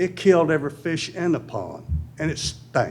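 A man with a Tennessee accent talks at a moderate pace, his pitch fairly high. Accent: Southern US (Tennessee). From US South. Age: 70s. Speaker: resident speaking at public comment. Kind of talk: public comment at city meeting. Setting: city board meeting.

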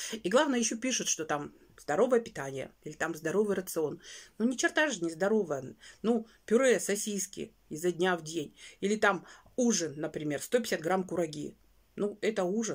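Against a quiet background, a woman with a medium-pitched voice talks in an animated tone with lively intonation at a moderate pace, leaving long, frequent pauses. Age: 40s. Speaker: weight-loss vlogger. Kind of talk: casual vlog monologue. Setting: home bedroom. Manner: chatty, animated. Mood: earnest, slightly exasperated. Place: home room. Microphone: phone near.

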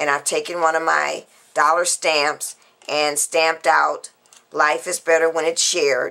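Against a quiet background, a woman speaks at a fairly slow pace in a very deep, low voice with monotone, flat intonation. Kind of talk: tutorial.

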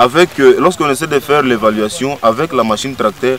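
A man's voice with ordinary pitch variation sounds dry with no echo, over light background noise. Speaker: interviewee. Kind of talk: interview answer. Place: open country.

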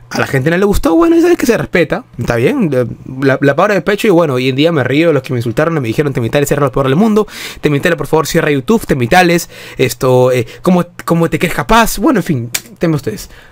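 Speaking at a very fast pace, a man uses a fairly high pitch and lively intonation. His tone is animated, with noticeable background noise. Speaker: football fan youtuber. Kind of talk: casual video commentary.

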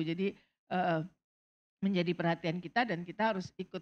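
With a normal speaking voice, a woman talks at a fairly quick pace in a medium pitch. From Indonesia. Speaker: substance abuse doctor; panel expert. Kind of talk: panel talk. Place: stage. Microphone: handheld.

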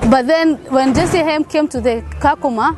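Clear music plays behind a woman with a high pitch, and the sound is dry with no echo. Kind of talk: interview answer. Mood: happy, proud. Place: open country.

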